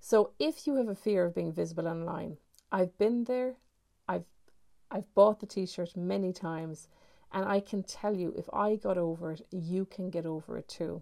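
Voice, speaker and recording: Woman with an Irish accent, a dark, mellow and warm tone, medium pitch, moderate pace and ordinary pitch variation. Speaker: online business coach, podcast host. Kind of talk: solo podcast monologue, advice talk. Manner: conversational, warm, many filler words.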